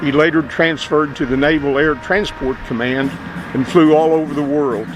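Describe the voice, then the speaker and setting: Music plays behind a man speaking at a moderate pace. His pitch is fairly high. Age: 70s. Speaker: retired Air National Guard sergeant, program narrator. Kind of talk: scripted narration. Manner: formal.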